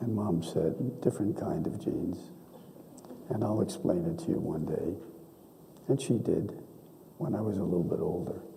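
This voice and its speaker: A man with a fairly low voice speaks with long, frequent pauses and very wide pitch swings, and the room echo is audible. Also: moderate pace. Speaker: donor and benefactor. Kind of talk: speech at a ceremony. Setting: auditorium with audience.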